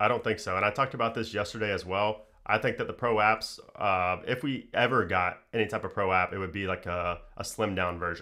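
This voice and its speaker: On a very clean recording with a silent background, a man talks at a fairly quick pace with hardly any pauses, a fairly low pitch, a bright, sharp tone and fairly even intonation. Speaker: tech YouTuber. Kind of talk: live stream chat. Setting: live stream. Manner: fast.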